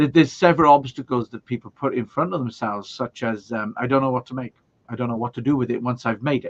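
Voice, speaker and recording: A man's medium-pitched voice in a Welsh accent, fairly even in intonation and very fast, with a dry, close sound and no echo. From Wales. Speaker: video production trainer. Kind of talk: casual interview.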